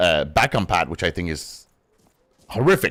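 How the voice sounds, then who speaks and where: A man talks with a French Canadian accent. His pitch is very deep and low. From Quebec. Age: 30s. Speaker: gaming streamer. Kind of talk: casual chat. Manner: casual, filler-heavy.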